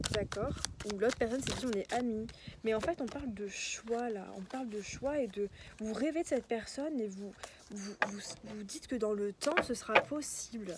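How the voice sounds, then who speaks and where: Soft-spoken and fairly high in pitch, a woman talks at a moderate pace over noticeable background noise. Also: ordinary pitch variation. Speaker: tarot card reader. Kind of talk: tarot reading. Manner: halting.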